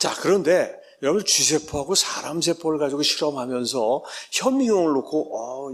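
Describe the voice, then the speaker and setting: This man has a normal speaking voice with a fairly high pitch. He talks at a fairly quick pace with lively intonation. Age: 60s. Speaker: professor. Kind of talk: lecture. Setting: church.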